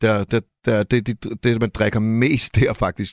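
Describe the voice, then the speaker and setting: A man's fairly low voice, a plain, everyday voice, at a fairly slow pace, with dry, close sound and no echo in a very clean recording with a silent background. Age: young. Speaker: rapper and music producer. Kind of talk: casual chat.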